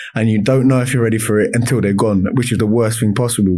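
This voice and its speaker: A man with a London accent, dark and mellow in tone, his intonation fairly even. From South East London, Lewisham. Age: 30s. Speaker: semi-professional footballer. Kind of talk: casual chat. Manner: loud.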